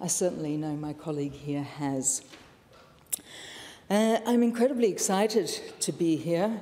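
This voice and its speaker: Noticeable background noise sits behind a woman speaking at a fairly low pitch. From Netherlands and South Africa. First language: Dutch. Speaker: politician. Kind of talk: parliamentary speech. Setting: parliament chamber.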